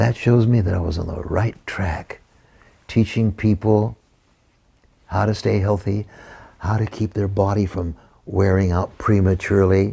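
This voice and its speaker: A man speaks very slowly at a fairly low pitch. His tone is dark and mellow, and somewhat breathy. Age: 80s+. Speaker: juicing promoter. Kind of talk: interview answer. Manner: energetic.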